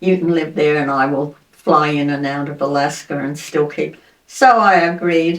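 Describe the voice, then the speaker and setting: Her voice is very deep and low for a woman. She speaks at a moderate pace with fairly even intonation. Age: 80s+; old. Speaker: retired antiques dealer and author. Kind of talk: interview answer, life story. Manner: casual, conversational.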